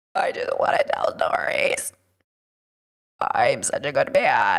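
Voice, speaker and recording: A raspy, put-on character voice sits at an extremely high pitch. The pace is fairly slow. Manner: mocking, smug.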